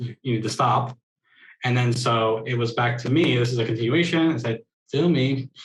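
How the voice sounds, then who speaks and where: A man talks at a medium pitch with ordinary pitch variation. His voice is somewhat breathy. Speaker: sign language interpreting mentor. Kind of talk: online workshop teaching. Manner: fast.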